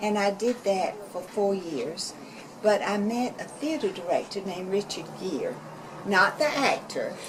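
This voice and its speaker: With noticeable background noise and audible room echo, a woman in a Southern accent speaks at a fairly slow pace, her medium pitch carrying lively intonation. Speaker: community arts organizer. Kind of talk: interview. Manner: hesitant fillers.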